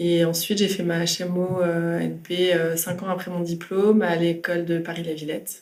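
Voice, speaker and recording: Over noticeable background noise, a woman speaks in a monotone, flat intonation at a fairly low pitch. Her pace is moderate, with hardly any pauses. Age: 30s. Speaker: architect. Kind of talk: interview. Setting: meeting room.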